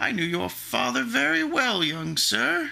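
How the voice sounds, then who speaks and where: Putting on a character voice, a man speaks at a fairly slow pace with very wide pitch swings. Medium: read story. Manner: sly, ingratiating.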